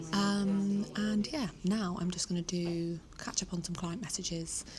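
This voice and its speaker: A soft-spoken woman with a southern English accent talks at a fairly low pitch with fairly even intonation, and there is noticeable background noise. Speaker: vlogger and mindset coach. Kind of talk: casual vlog. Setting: hotel lobby co-working space. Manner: quiet, speaking softly.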